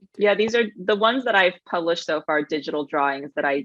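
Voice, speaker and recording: In a plain, everyday voice, a woman speaks at a fairly quick pace with a fairly low pitch and lively intonation, the sound dry and close with no echo. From US (moved from China at age 3). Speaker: podcast guest, sustainability newsletter writer and artist. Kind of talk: casual chat. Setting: podcast recording.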